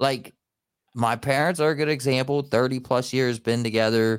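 On a very clean recording with a silent background, a man of medium pitch speaks fairly slowly in an ordinary speaking voice. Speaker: podcast host. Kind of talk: casual chat.

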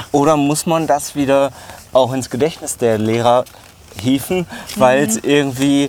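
Pausing long and often, a man with a fairly high pitch talks at a fairly slow pace with ordinary pitch variation over noticeable background noise. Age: 40s. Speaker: podcast host. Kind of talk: casual chat. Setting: outdoors, walking through a zoo.

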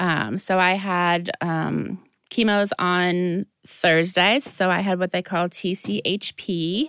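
A very slow delivery in a Midwestern American accent, with very even loudness and a dry, close sound with no echo, on a very clean recording with a silent background. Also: woman, medium pitch for a woman, fairly even intonation. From Iowa (Dubuque). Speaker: breast cancer survivor, nonprofit founder. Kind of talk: interview.

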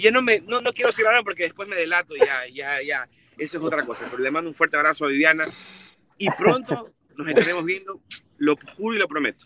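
A man's high-pitched, animated voice at a fairly quick pace, with a dry, close sound and no echo. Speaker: football pundit. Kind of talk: casual chat.

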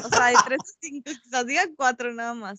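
In a dry, close recording with no echo, a woman raises and projects her high-pitched voice, its tone bright and sharp. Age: 20s. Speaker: university student. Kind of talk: casual chat. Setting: recorded at night.

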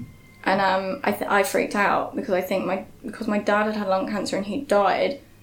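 A woman's medium-pitched voice at a moderate pace over noticeable background noise. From Yorkshire, England. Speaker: theatre director. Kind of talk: casual interview chat. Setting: meeting room in a shop.

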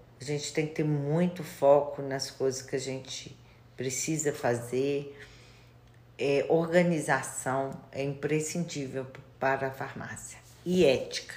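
In a room with audible echo, a woman speaks very slowly in a very deep, low voice with flat, monotone intonation. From Minas Gerais, Brazil (Itabira area, Belo Horizonte). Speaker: pharmacist. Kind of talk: interview.

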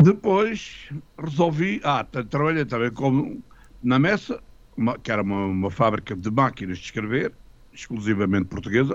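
A man speaks at a medium pitch. His voice swings very widely up and down. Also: moderate pace. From Portugal, Lisbon. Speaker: retired music teacher and composer. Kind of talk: radio interview.

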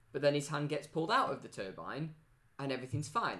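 A man speaks at a fairly high pitch. His voice carries vocal fry. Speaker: podcast co-host. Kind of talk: casual chat.

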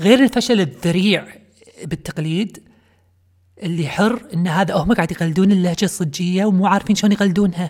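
Somewhat breathy woman's voice at a medium pitch, moderate pace, and ordinary pitch variation. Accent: Kuwaiti. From Kuwait. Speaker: podcast host. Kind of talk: comedic monologue. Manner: animated.

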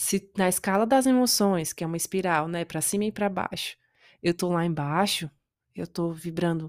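A woman speaks slowly-ish, at a fairly slow pace, with a fairly low pitch and ordinary pitch variation. The sound is dry and close with no echo, and the recording is very clean, with a silent background. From Brazil. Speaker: podcast host, self-development coach. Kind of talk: solo motivational talk.

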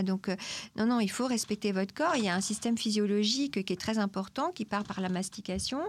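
This plain, everyday voice moves at a fairly quick pace with ordinary pitch variation. The recording is very clean, with a silent background. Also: woman. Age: 50s. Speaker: nutritionist. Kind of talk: expert interview answering questions.

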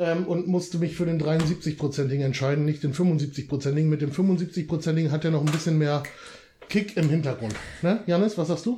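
A man talks in a plain, everyday voice with a fairly high pitch and ordinary pitch variation. His pace is moderate and his loudness stays very even. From northern Germany, Lower Saxony. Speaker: podcast guest. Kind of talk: casual chat.

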